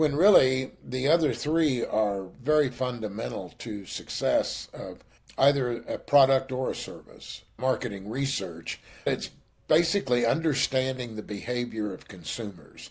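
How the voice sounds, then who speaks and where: Somewhat breathy and medium in pitch, a man with a Texas accent talks with big swings in loudness. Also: lively intonation, fairly slow pace, very clean recording, silent background. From western Kansas. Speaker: business executive. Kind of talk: interview.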